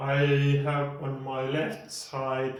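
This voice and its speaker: Room echo can be heard. A man with a Finnish accent speaks at a very slow pace. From Finland (Lahti). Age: 40s. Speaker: podcast host. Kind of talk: casual monologue. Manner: pauses in speech; slow and clear.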